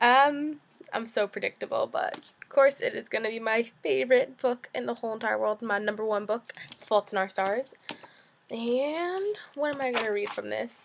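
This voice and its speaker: With lively intonation, a woman in a New Jersey accent speaks at a moderate pace and fairly high pitch over noticeable background noise. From US, New Jersey. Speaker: vlogger. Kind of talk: casual vlog, accent challenge. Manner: hesitant, many fillers.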